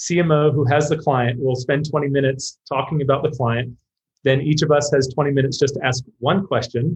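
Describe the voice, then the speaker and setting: A man speaks at a moderate pace in a fairly high, somewhat breathy voice with flat, monotone intonation. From UK. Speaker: marketing executive. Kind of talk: interview.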